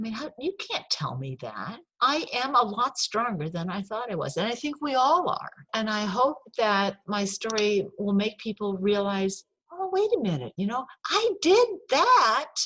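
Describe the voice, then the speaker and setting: This woman talks at a fairly slow pace in an American accent. Her pitch sits fairly high and swings very widely. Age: 60s. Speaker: author and former forest firefighter. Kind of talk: interview.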